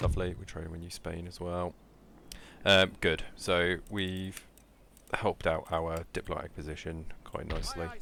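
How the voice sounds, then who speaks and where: With a British accent, the speaker talks at a moderate pace in a monotone, flat intonation. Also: man, very deep, low pitch for a man, big swings in loudness. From Britain. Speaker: gaming YouTuber. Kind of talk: gameplay commentary. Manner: halting, many fillers.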